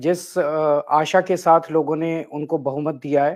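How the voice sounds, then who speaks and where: A man is talking. The background is quiet. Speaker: politician. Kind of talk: political concession speech.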